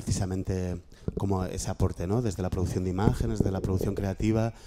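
Over light background noise, a man with a very deep, low voice speaks at a fairly quick pace with fairly even intonation. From Spain, Madrid. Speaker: workshop moderator, graphic activist. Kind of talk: panel discussion moderation. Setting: room with audience and microphone. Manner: halting, many repetitions. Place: classroom.

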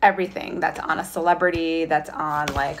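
A woman's fairly low voice, a normal speaking voice, with an American accent at a moderate pace over light background noise. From New York State (Highland Falls); New York. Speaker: fashion magazine director. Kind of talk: career talk for school students. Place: home room. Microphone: phone near.

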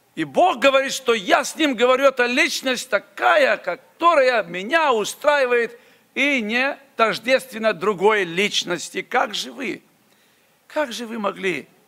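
A man's raised, projected voice at an extremely high pitch, bright and sharp in tone, very slow in pace, with lively intonation and big swings in loudness. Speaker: preacher. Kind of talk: sermon. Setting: church. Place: church. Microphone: podium.

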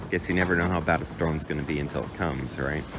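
Loud background noise sits behind a man's fairly quick speech. There is no echo, and the sound is dry. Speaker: local vlogger. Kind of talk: casual vlog commentary. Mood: critical of government. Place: waterside. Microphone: phone near.

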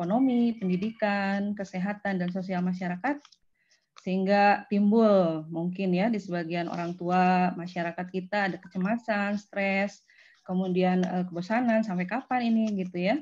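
Her intonation stays fairly even and her voice is somewhat breathy. The woman speaks at a moderate pace. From West Java, Indonesia (Bandung); West Java, Indonesia. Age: 40s. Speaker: university lecturer. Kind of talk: lecture. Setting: video call. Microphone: video call.

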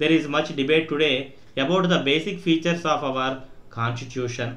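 A man talks at a moderate pace in a fairly high voice. His pitch varies in an ordinary way. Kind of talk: shorthand dictation; read-aloud political speech. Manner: formal, even, dictation-style cadence.

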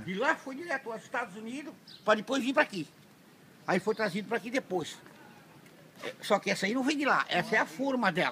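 A raised, projected voice at a fairly quick pace over light background noise. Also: man, high pitch for a man, lively intonation. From Santa Catarina, southern Brazil. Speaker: fisherman. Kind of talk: interview answer. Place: street. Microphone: phone near.

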